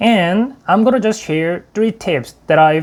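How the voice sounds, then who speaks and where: A man with a Korean accent, very slow, with very wide pitch swings. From South Korea. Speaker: YouTuber. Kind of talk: tutorial.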